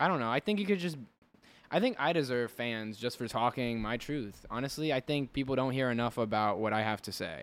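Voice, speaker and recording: An American accent marks this man's ordinary speaking voice, which moves at a fairly quick pace in a medium pitch with lively intonation. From New Jersey, Elizabeth. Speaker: podcast host. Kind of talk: casual chat.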